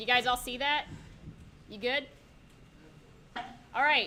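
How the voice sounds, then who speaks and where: A woman's high-pitched voice, bright and sharp in tone, is raised and projected. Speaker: workshop presenter at a college game dev club. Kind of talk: live software tutorial workshop. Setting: room with live audience and microphones. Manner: loud; casual, filler-heavy with many ums.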